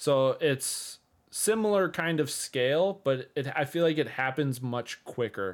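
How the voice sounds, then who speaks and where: A man with an Upper Midwest accent speaks at a fairly slow pace and a fairly high pitch. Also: lively intonation. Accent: Upper Midwest American. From Minnesota, US. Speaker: streamer and developer, podcast co-host. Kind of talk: casual chat. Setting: video call.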